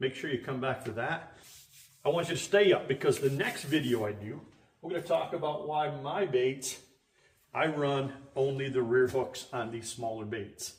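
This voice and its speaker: The man's voice sits fairly high in pitch, with ordinary pitch variation. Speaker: fishing charter captain. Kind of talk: tutorial. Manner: fast.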